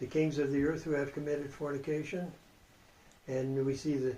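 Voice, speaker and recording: A man's somewhat breathy voice has a dark, mellow tone and a fairly high pitch for a man, delivered in a flat monotone. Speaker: Bible prophecy teacher. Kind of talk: Bible study lecture.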